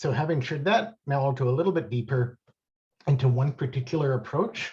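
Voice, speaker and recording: At a fairly quick pace, a man speaks at medium pitch with a dark, mellow tone. His voice is somewhat breathy, and his pitch varies in an ordinary way. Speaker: impact investing panelist. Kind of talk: webinar presentation. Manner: fast.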